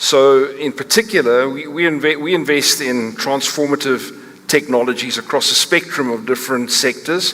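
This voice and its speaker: At a moderate pace with hardly any pauses, a speaker with a South African accent uses ordinary pitch variation over noticeable background noise. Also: man, fairly high pitch for a man. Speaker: company chief executive, panelist. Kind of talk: panel discussion talk. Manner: halting, many fillers and restarts.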